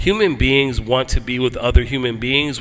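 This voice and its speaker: There is noticeable background noise as a man speaks fairly slowly. His pitch is medium, with ordinary variation. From US Northeast, Philadelphia. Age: 50s. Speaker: motorcyclist and antiracism speaker. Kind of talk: panel talk. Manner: casual, animated.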